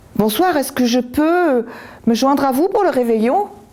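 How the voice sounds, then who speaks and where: A woman puts on a character voice at a high pitch. She keeps a moderate pace. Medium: read story. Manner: calm, polite.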